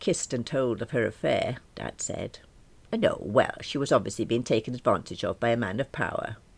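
The intonation is fairly even. A text is read aloud in a natural voice.

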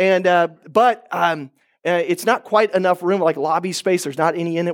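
In a very clean recording with a silent background, a man with an American accent and a high pitch talks at a fairly quick pace in a dry, close sound with no echo. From Oklahoma. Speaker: pastor. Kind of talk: sermon. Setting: church.

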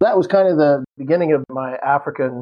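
A man talks at a fairly quick pace. His fairly high voice has ordinary pitch variation. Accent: US Midwestern. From Kansas, US. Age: 50s. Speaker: history professor and retired Marine pilot. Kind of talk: casual interview.

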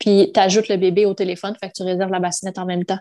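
Against a quiet background, the words come at a very fast pace in a monotone, flat intonation. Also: woman. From Quebec. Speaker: mother, podcast guest. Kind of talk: casual interview.

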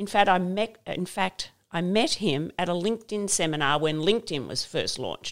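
A woman's medium-pitched voice with an Australian accent. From Queensland, Australia. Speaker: fashion brand founder. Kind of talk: interview.

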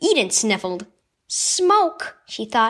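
A woman speaks in an animated tone with very wide pitch swings. Her pace is fairly slow. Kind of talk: children's story reading, devotional narration. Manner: animated, expressive, voicing dialogue and barking action; warm, earnest, gentle storytelling pace.

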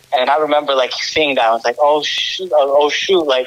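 Noticeable background noise sits behind a man with an American accent who speaks at a moderate pace and a fairly high pitch. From Orlando, Florida (early years Romania). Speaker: podcast guest. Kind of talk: casual interview.

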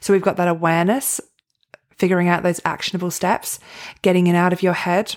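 With an Australian accent, a woman speaks at a medium pitch. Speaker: podcast host and performance coach. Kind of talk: solo motivational talk.

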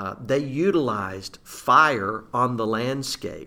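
This man's tone is bright and sharp, with lively intonation. He speaks at a very slow pace. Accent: Arkansas. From Southeast Arkansas. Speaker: forestry association executive. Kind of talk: casual interview.

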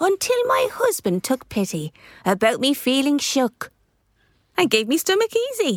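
This squeaky, female-sounding put-on character voice moves at a moderate pace.

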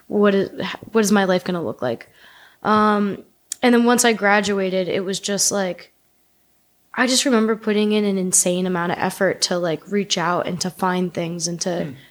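At a moderate pace and medium pitch, a woman with a Northeastern US accent talks with ordinary pitch variation on a very clean recording with a silent background. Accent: American (Northeast). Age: 30s. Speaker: artist. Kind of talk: casual chat.

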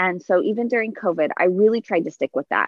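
With an American accent, a woman uses a plain, everyday voice at a medium pitch and lively intonation. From Southern California. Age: 30s. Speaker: podcast guest, mother. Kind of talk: casual chat.

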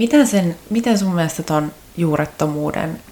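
A woman speaks with a very deep, low pitch and ordinary pitch variation. Her pace is fairly slow. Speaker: podcast host. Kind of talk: casual interview.

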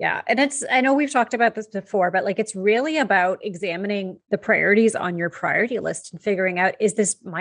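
A woman speaks with a Canadian accent and ordinary pitch variation. Vocal fry runs through her voice. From Canada. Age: 40s. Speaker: podcast co-host, business coach. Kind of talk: casual chat.

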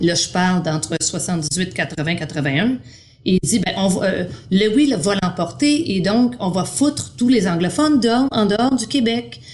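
Speaking at a very slow pace, a woman keeps a medium pitch but swings it very widely. Noticeable background noise runs underneath. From Quebec. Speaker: primary arts teacher. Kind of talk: interview.

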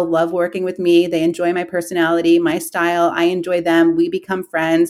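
A woman's ordinary speaking voice, fairly low in pitch, with an American accent. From New York City, Queens. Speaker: real estate agent. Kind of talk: interview. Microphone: audio issues, partner's computer.

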